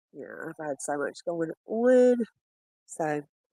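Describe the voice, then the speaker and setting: A woman's fairly low voice with a Southern US accent, dry and close with no echo. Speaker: bigfoot footage streamer. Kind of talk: livestream footage review. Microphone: audio issues, lost mic windscreen.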